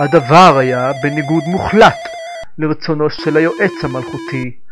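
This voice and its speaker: With music in the background, a man speaks very slowly at a fairly high pitch. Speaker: voice actor. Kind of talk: video game intro narration. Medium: dub.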